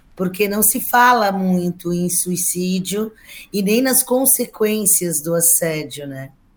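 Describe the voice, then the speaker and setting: A woman at a very slow pace with lively intonation. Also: medium pitch for a woman. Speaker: labor law scholar. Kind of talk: panel discussion.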